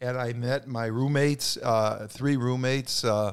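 At a moderate pace, a man with a New York accent speaks at medium pitch with fairly even intonation on a very clean recording with a silent background. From New York City. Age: 80s+. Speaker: podcast guest, grandfather. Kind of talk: casual chat, storytelling.

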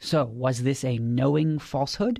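The voice is somewhat breathy with a dark, mellow tone, heard on a very clean recording with a silent background. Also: man. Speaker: legal podcast co-host. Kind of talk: legal explainer.

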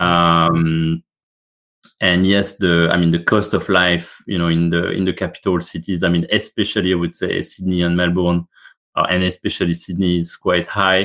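A man with a French accent speaks in a very deep, low pitch at a moderate pace, with very even loudness and monotone, flat intonation. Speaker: business executive. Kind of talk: interview. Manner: hesitant, many fillers.

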